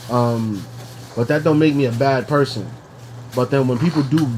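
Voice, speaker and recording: Medium in pitch and fairly even in intonation, a man with an American accent talks at a moderate pace amid noticeable background noise and audible room echo. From New York. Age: 30s. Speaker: podcast co-host. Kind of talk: casual chat. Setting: at home. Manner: halting.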